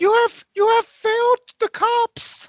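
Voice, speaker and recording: This put-on character voice has an extremely high pitch and monotone, flat intonation, delivered at a fairly slow pace. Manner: menacing.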